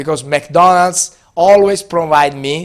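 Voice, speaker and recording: A man with an Italian accent speaks at a fairly slow pace, his pitch fairly high with ordinary pitch variation. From Italy. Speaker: business school professor. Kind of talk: lecture. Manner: hesitant, many fillers.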